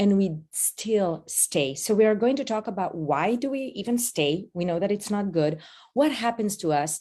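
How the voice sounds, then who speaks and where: With a slight Israeli accent and a dark, mellow tone, a woman speaks at a medium pitch for a woman, keeping a moderate pace and lively intonation. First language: Hebrew. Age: 50s. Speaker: addiction advocate and speaker. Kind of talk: online workshop talk. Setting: video call. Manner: animated.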